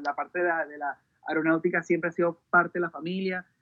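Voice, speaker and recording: The man speaks with a high pitch. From Venezuela. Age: 30s. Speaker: music video director. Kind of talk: interview. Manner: halting, many repetitions and fillers; energetic.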